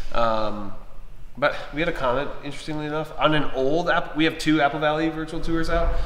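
Audible room echo surrounds a man talking at a fairly quick pace with a fairly high pitch. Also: ordinary pitch variation. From Minnesota, Twin Cities suburbs. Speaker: real estate agent. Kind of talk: live stream chat. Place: home room. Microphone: webcam.

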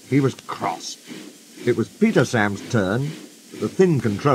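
The delivery here is plain reading aloud.

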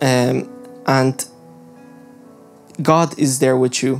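Over faint music in the background, a man speaks with monotone, flat intonation. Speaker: youth service host. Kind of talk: church service welcome. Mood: warm, earnest. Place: hall. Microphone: handheld.

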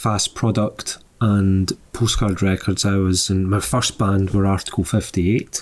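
A man with a Scottish accent, fairly low in pitch, at a moderate pace. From Scotland, Lanarkshire. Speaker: musician and author. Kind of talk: casual chat. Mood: relaxed, reflective. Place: studio. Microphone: studio mic.

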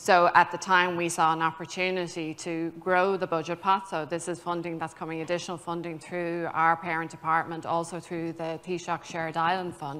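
Speaking at a moderate pace with hardly any pauses, a woman keeps a fairly low pitch and a monotone, flat intonation. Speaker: research funding agency executive; funding agency director on panel. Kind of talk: panel discussion. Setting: conference stage with audience. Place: hall. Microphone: lapel.

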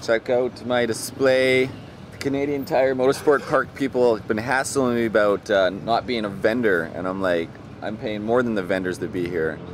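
The voice moves at a moderate pace with ordinary pitch variation, in a dry sound with no echo and light background noise. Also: man. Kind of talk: casual vlog chat. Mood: annoyed, complaining. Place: street. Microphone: phone near.

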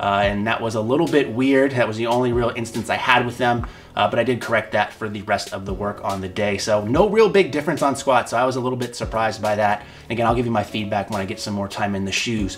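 Over faint background music, the voice moves at a very fast pace with ordinary pitch variation. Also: man. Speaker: strength athlete reviewing shoes. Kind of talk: product review talk to camera. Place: gym.

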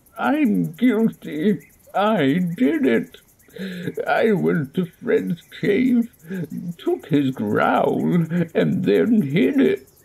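Pitched in the middle, a cartoonish character voice drags along at a very slow pace with long, frequent pauses. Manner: remorseful, sheepish.

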